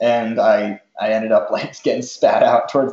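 In an American accent, a man with a plain, everyday voice speaks at medium pitch and a moderate pace. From US Northeast (Rhode Island / Massachusetts border). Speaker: professional runner. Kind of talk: casual chat.

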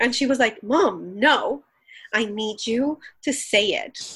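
This woman has a Colombian accent. Her pitch sits fairly high. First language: Spanish. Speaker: pastor. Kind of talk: interview conversation. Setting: remote recording from home.

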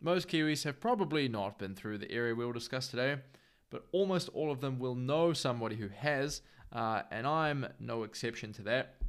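At a fairly quick pace, a man with a New Zealand accent speaks at medium pitch with lively intonation, on a very clean recording with a silent background. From New Zealand, Northland. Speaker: podcast host. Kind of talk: scripted narration. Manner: casual.

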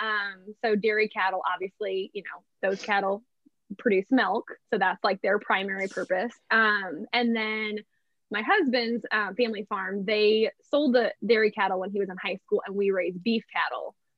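A woman with an American accent uses an ordinary speaking voice, medium in pitch, with fairly even intonation and a moderate pace. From northern Indiana, US Midwest. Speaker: fair trade shop owner, farmer's wife. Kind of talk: casual interview.

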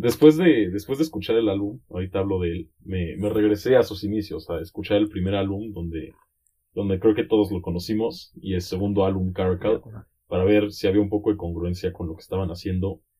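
A man speaks at a fairly quick pace in a fairly low voice. His delivery is somewhat breathy, with ordinary pitch variation. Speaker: podcast guest, electronic music fan. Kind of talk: casual chat.

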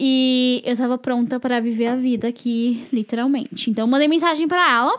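A woman with a high pitch keeps a moderate pace with hardly any pauses, fairly even intonation and very even loudness, over noticeable background noise. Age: 20s. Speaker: podcast co-host, former au pair. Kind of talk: casual chat, storytelling.

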